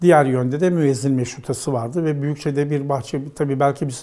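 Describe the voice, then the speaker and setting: A man with a dark, mellow tone speaks at a fairly high pitch and a moderate pace, with ordinary pitch variation. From Istanbul, Turkey. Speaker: professor. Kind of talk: oral history interview. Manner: hesitant, with many fillers.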